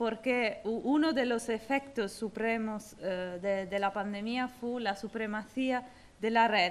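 With an Italian accent, a woman speaks at a very slow pace. Her pitch is fairly high, and her intonation fairly even. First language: Italian (speaking Spanish). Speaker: former mayor and activist; former mayor. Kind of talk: award acceptance speech. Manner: halting. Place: hall. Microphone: podium.

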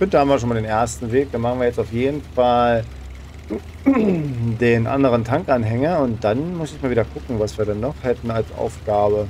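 Against noticeable background noise, a man with a medium pitch talks at a fairly quick pace with lively intonation. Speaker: gaming YouTuber. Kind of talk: let's play commentary. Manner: fast. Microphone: current microphone, new one ordered.

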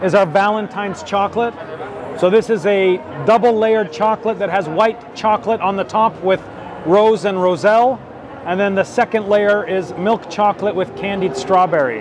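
There is noticeable background noise behind this recording. A man speaks at a high pitch and a moderate pace. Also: ordinary pitch variation, dry sound with no echo. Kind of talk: interview answer. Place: hall. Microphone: lapel.

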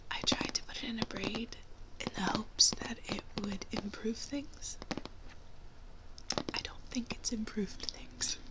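A soft-spoken woman in a gentle tone at a fairly slow pace, with long, frequent pauses and loud background noise. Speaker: beauty vlogger. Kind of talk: casual vlog chat, product review. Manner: soft-spoken, gentle ASMR voice. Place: home room. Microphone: phone near.

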